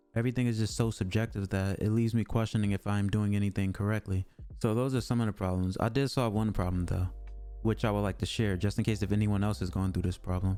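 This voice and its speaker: A man's fairly low voice at a very fast pace, fairly even in intonation and very even in loudness, with music in the background. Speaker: streamer. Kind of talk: casual monologue. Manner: monotone.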